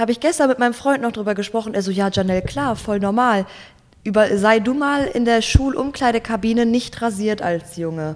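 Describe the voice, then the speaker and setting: A woman talks at a fairly quick pace with a fairly high pitch and ordinary pitch variation. It is an ordinary speaking voice. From Germany, Ruhr area (Gelsenkirchen). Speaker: Instagram creator and student. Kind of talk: casual interview.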